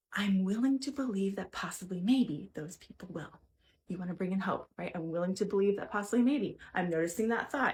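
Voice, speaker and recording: Talking at a very fast pace, a woman uses a medium pitch and lively intonation, her voice somewhat breathy. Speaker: mental health coach. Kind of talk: tutorial.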